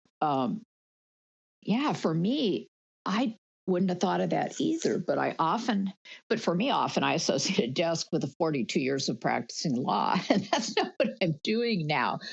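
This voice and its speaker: A woman with vocal fry speaks at a medium pitch and a moderate pace, her pitch swinging very widely while her loudness stays very even. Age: 70s. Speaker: workshop participant, former lawyer. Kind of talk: group discussion.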